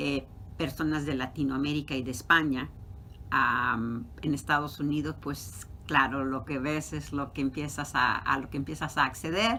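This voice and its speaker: At a fairly slow pace, a woman with a Mexican accent speaks at a very deep, low pitch with ordinary pitch variation. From Mexico City. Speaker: professor. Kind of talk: interview.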